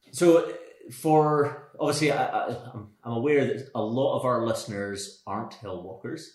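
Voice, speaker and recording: A normal speaking voice carries ordinary pitch variation throughout. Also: man, fairly high pitch for a man, fairly slow pace. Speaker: podcast host. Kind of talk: casual interview chat.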